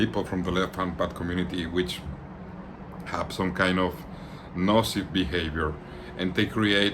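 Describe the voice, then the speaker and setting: With long, frequent pauses, a man speaks in a Latin American accent at a very deep, low pitch, with audible room echo. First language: Spanish. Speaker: occult practitioner and channel host. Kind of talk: informal talk to camera. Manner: halting, with frequent repetitions; relaxed.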